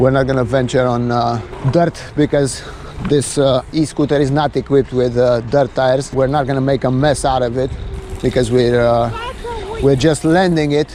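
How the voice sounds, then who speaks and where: Speech at a moderate pace with fairly even intonation and very even loudness comes through noticeable background noise. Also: man, medium pitch for a man. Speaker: vlogger reviewing an e-scooter. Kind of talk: POV ride review commentary. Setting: outdoors riding a scooter. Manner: frequent filler hesitations.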